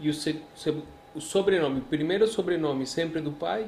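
A man talks in a Spanish accent with a high pitch. His pitch varies in an ordinary way. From Colombia, Medellín. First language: Spanish (speaking Portuguese). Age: 40s. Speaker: priest. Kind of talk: casual interview.

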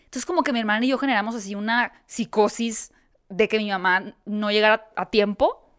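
A woman talks at a fairly quick pace in an ordinary speaking voice, fairly high, with ordinary pitch variation. The recording is very clean, with a silent background. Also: dry, close sound with no echo. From Mexico, Hermosillo (Sonora). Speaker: interviewer and video creator. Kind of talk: casual chat.

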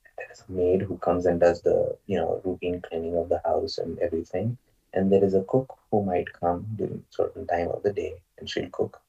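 A man speaks with a Marathi accent while music plays in the background. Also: moderate pace. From Maharashtra, India. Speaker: guest, Indian immigrant to the US. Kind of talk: casual interview conversation. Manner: hesitant, filler-heavy.

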